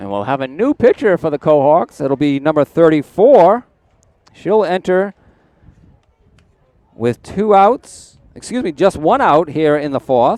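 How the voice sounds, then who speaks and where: This man's pitch is fairly high and swings very widely. He speaks at a fairly slow pace with long, frequent pauses, in a dry, close sound with no echo. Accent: Rhode Island. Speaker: play-by-play sports commentator. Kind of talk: live commentary.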